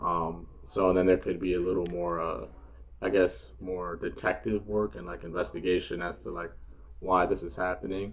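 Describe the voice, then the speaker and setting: A man's very deep, low voice with vocal fry and a New York accent. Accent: American (New York). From New York, US. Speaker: podcast guest. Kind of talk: casual chat. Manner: halting, many fillers.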